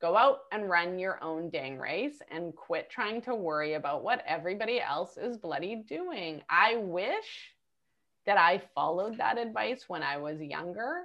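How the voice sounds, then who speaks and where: A woman with a plain, everyday voice, medium pitch, lively intonation and a fairly slow pace. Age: 40s. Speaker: entrepreneur. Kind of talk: interview.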